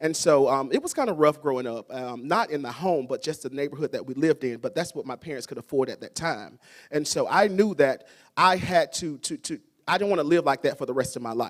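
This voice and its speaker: A man with a Southern US accent talks at a fairly quick pace in a fairly high pitch, with ordinary pitch variation and big swings in loudness. The recording is very clean, with a silent background. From US South. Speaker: school principal. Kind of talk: ceremony speech. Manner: fast.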